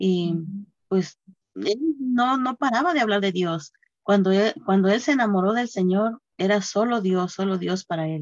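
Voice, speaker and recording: A woman with a normal speaking voice and a medium pitch talks with ordinary pitch variation in a dry, close sound with no echo. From Mexico, Guerrero. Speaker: church member sharing testimony. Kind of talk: testimony.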